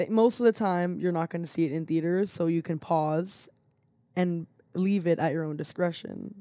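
Her tone dark and mellow, a woman talks at a moderate pace with a fairly low pitch. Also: ordinary pitch variation. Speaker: podcast co-host. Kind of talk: casual chat.

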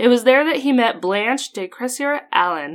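A woman with an Idaho accent and lively intonation, on a very clean recording against a silent background. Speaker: history podcast host. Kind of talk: casual chat. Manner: laughs often.

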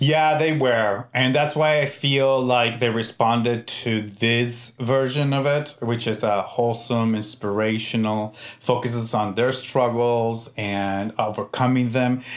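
A man at medium pitch, fairly slow pace, hardly any pauses, fairly even intonation and very even loudness. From US, Mexican-American family. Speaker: TV showrunner. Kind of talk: interview. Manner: hesitant, many fillers.

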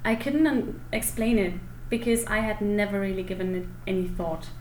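A woman with a German accent and fairly even intonation, amid noticeable background noise and audible room echo. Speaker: German speaker and teacher. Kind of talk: interview. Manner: hesitant with fillers.

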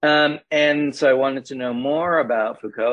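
A man talks at a moderate pace in a normal speaking voice. His pitch varies in an ordinary way. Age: 60s. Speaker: professor and healing practitioner. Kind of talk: casual interview.

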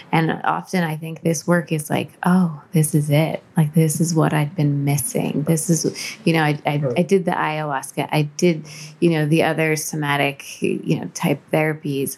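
A woman's very deep, low voice at a moderate pace with fairly even intonation. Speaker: life coach and hypnotherapist. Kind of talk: interview.

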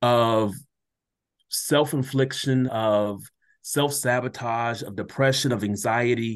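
Very slow, fairly even speech from a man at medium pitch. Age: 30s. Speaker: educator and motivational speaker. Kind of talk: casual chat. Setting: video call.

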